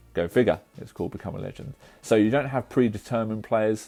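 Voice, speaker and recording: A man's dark, mellow tone. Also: very clean recording, silent background. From England. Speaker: gaming youtuber. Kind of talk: gameplay commentary. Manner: fast.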